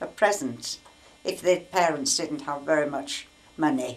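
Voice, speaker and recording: A woman with a Yorkshire accent speaks at a fairly slow pace in a fairly low voice with lively intonation. Noticeable background noise is present. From York, England. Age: 80s+. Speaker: wartime memories storyteller. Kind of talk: interview answer.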